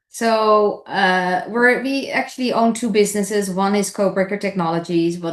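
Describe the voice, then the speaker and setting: A woman with a Dutch accent talks at a moderate pace with ordinary pitch variation, against noticeable background noise. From Netherlands. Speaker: entrepreneur. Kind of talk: podcast interview.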